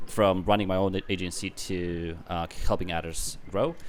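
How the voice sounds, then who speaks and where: The speaker has an Eastern European accent. The intonation stays flat and monotone. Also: man. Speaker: business consultant. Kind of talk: casual interview.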